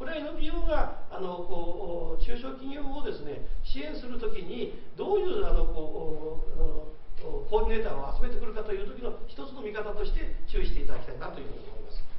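A man talks at a fairly quick pace with an extremely high pitch and very wide pitch swings, with audible room echo and light background noise. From Japan. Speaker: retired trading company executive, SME consultant. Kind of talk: lecture. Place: meeting room.

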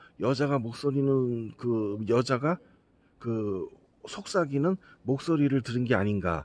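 This man's voice shows ordinary pitch variation. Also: dry sound with no echo. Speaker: paranormal night vlogger. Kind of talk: casual talk to camera, livestream-style update to subscribers. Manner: earnest, spooked, rambling. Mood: earnest, spooked storytelling. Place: street. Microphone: phone near.

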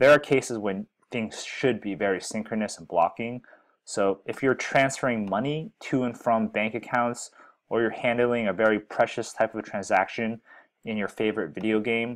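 The man keeps a moderate pace and ordinary pitch variation, with a quiet background behind him. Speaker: software educator. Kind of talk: tutorial. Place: home room.

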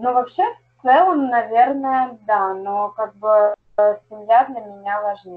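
Very slowly, a woman speaks at a fairly high pitch with ordinary pitch variation. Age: 20s. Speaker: construction company manager. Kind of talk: coaching session participant. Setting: video call. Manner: halting.

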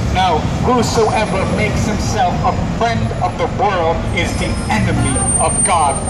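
Loud background noise fills the clip. Over it, a man talks at a fairly slow pace. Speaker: street preacher. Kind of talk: sermon. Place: street.

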